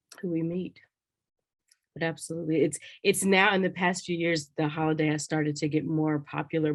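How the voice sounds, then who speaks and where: With an American accent, a woman speaks at a fairly quick pace in a very deep, low pitch and a monotone, flat intonation. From US South. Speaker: college director and lecturer. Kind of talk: conversation.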